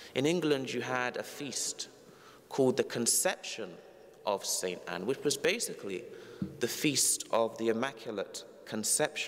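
A man with a London accent speaks at a fairly slow pace. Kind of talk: homily, preacher addressing congregation. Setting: church. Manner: formal, earnest. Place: church. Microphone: lapel.

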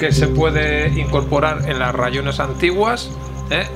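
Loud music plays in the background as a man talks at a moderate pace. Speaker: presenter. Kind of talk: product explanation to camera. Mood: calm, relaxed explanation. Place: workshop.

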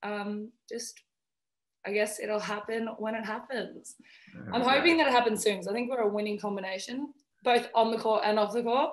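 The background is quiet as a woman speaks. She keeps a moderate pace and fairly even intonation. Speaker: guest. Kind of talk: interview answer. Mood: cheerful, laughing. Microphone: video call.

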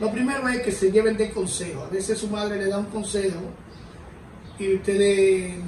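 A man's high-pitched voice with a Dominican accent, a moderate pace, long, frequent pauses and fairly even intonation, with light background noise and audible room echo. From Dominican Republic. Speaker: former dancer in recovery; interviewee. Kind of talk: testimony. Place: home room.

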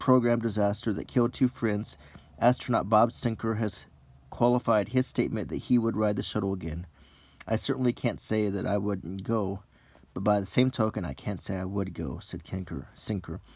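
A dry sound with no echo carries a man's fairly low pitch, ordinary pitch variation and moderate pace. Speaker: newspaper reader. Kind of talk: reading aloud with casual commentary. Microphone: phone near.

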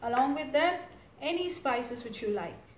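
Against light background noise and audible room echo, a woman talks at a high pitch with ordinary pitch variation. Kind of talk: tutorial. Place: kitchen. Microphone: camera far.

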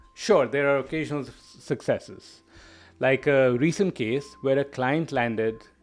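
A man talks at a moderate pace with ordinary pitch variation while music plays in the background. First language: not English. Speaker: product management coach. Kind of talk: educational monologue video. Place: home room. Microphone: studio mic.

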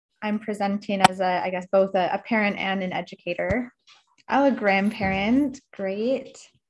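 Somewhat breathy, a woman speaks at a moderate pace with fairly even intonation over light background noise. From Canada. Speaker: environmental educator. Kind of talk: presentation. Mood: friendly, upbeat. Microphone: video call.

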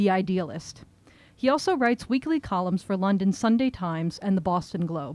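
A woman's voice with a dark, mellow tone comes through as dry sound with no echo. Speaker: event host introducing the speaker. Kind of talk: reading a prepared introduction. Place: shop. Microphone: podium.

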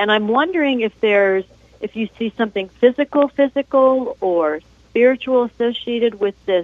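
At a moderate pace, a woman talks with ordinary pitch variation in a dry sound with no echo. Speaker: caller. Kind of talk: call-in question. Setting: phone call. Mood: concerned, polite. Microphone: phone line.

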